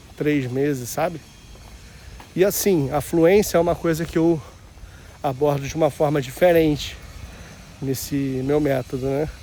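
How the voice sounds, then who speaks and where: A man speaks at a fairly slow pace. His pitch is fairly high and his intonation fairly even. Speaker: vlogger. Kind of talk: casual walking vlog. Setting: outdoors, walking. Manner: casual, slangy.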